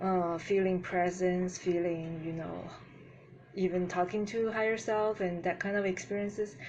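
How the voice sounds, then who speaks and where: Audible room echo surrounds a woman with a non-native accent speaking at medium pitch and a moderate pace, her intonation monotone and flat. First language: not English. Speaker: spiritual youtuber. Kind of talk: video commentary monologue. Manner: halting, with fillers.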